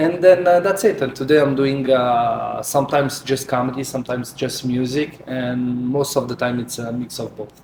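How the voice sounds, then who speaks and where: A man with an Italian accent speaks at a moderate pace and medium pitch, with ordinary pitch variation and noticeable background noise. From Naples, Italy. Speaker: comedian and singer. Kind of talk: interview. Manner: halting.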